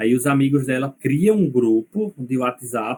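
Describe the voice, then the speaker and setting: Here a man is speaking. His pitch is fairly high. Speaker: university lecturer. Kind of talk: lecture.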